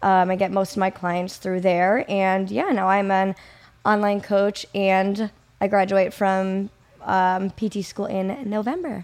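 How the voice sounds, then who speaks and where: Speaking with an American accent, a woman keeps to a fairly slow pace. Her medium-pitched voice has a monotone, flat intonation. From US Midwest, Kenosha, Wisconsin. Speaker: physical therapist and online fitness coach. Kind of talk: casual interview chat.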